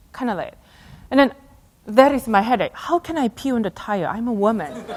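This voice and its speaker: A woman with a Korean accent speaks at a fairly quick pace, fairly high in pitch, with lively intonation. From South Korea. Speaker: astronaut and speaker. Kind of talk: keynote talk with storytelling. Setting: stage with audience.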